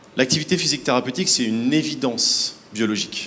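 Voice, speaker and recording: Noticeable background noise sits under this recording. A man talks at a fairly quick pace with ordinary pitch variation. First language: French. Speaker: health nonprofit representative. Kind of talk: panel answer at awards ceremony.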